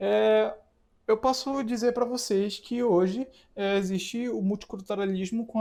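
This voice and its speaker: In a very clean recording with a silent background, a man with a northern Brazilian accent talks at a fairly slow pace in a dark, mellow tone. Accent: northern Brazilian (Amapá), hissing 's'. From Amapá, northern Brazil. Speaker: teacher. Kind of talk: lecture. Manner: halting, with fillers.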